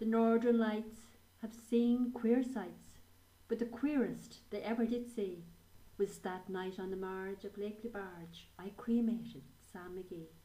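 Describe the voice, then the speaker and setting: A woman with an Irish accent talks very slowly at a fairly high pitch, her intonation fairly even but her loudness swinging widely. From Ireland. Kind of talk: poetry reading.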